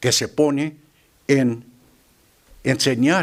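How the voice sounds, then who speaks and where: Speaking very slowly, a man delivers his words with an English accent. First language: English (speaking Spanish). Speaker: lay preacher. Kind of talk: sermon. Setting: church. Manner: halting, with fillers and repetitions.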